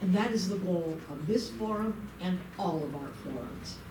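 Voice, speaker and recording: A woman speaks at a fairly slow pace with lively intonation, over noticeable background noise and audible room echo. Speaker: civic volunteer and forum moderator. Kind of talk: public forum welcome speech. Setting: meeting room with live audience. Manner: loud.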